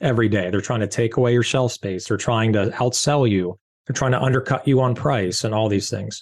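This man has a Californian accent and a medium pitch. He uses ordinary pitch variation and hardly any pauses. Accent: Californian American English. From Southern California. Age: 40s. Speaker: beverage company founder and CEO. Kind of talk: interview.

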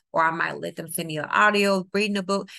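A woman speaks at a very fast pace in a New Orleans accent. Her tone is bright and sharp, with ordinary pitch variation. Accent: US Southern (New Orleans). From New Orleans, Louisiana. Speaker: teacher and tutor. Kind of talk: interview.

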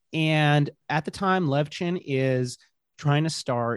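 With a quiet background, the man's pitch rises and falls in an ordinary way as he talks. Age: 30s. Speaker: journalist and author. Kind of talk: interview. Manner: halting, many fillers.

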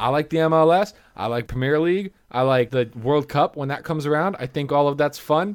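A man with an ordinary speaking voice talks at a fairly quick pace and fairly high pitch, with ordinary pitch variation and hardly any pauses. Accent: American. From United States. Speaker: movie review podcast co-host. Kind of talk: casual chat.

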